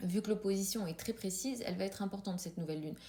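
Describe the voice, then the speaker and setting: Her medium-pitched voice shows ordinary pitch variation as this woman talks. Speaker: astrologer. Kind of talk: astrology commentary video. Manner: fast; hesitant, many filler sounds.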